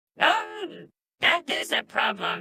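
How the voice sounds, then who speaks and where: The voice is a squeaky, cartoonish character voice. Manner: earnest, a bit goofy.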